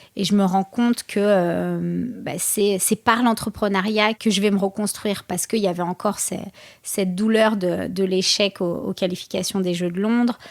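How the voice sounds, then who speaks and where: Intonation stays monotone and flat as the words come at a moderate pace. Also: woman, medium pitch for a woman. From France, Seine-Saint-Denis. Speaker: boxer and entrepreneur. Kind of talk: interview. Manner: halting.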